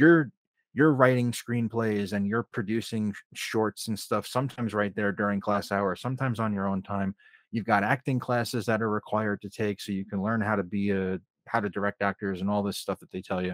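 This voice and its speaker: A man with a normal speaking voice talks fairly quickly at a fairly low pitch, his intonation fairly even. The recording is very clean with a silent background and a dry, close sound with no echo. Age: 30s. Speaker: filmmaker and sound editor. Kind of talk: casual chat.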